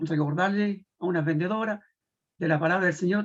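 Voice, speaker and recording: At a moderate pace, a man speaks in a high voice with fairly even intonation. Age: 60s. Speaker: merchant, church member. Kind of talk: testimony. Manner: halting.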